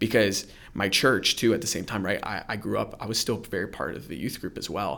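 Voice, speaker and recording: Speaking with an American accent, a man uses a fairly low pitch, a bright, sharp tone, vocal fry and ordinary pitch variation. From Central Florida, Orlando area. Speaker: church youth worker. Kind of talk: personal testimony interview. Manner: casual, filler-heavy.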